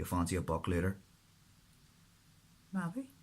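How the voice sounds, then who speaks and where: The speaker talks at a moderate pace with a Northern Irish accent. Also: man. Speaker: author. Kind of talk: audiobook-style fiction reading.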